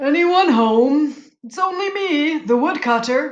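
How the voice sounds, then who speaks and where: A high-pitched put-on character voice at a fairly slow pace. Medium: read story.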